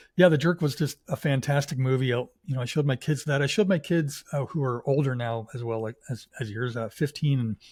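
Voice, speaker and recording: On a very clean recording with a silent background, a man speaks at a fairly quick pace with hardly any pauses. His fairly high voice is somewhat breathy, with ordinary pitch variation. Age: 60s. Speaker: podcast guest host. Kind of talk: casual interview chat.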